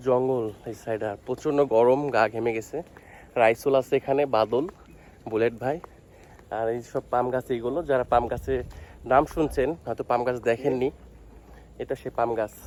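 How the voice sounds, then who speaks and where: Speaking at medium pitch, a man uses an ordinary speaking voice. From Bangladesh. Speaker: vlogger. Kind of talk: walking vlog narration. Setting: outdoors. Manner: casual.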